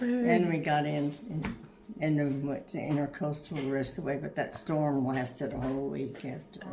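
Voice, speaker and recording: Noticeable background noise sits behind a woman with a very deep, low pitch who speaks at a moderate pace with ordinary pitch variation. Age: 80s+. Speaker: grandmother. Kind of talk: interview answer.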